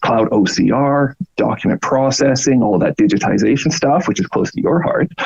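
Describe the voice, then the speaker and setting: With a Canadian accent, a man speaks at a moderate pace. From Canada. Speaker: product marketing manager. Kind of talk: podcast interview. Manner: animated.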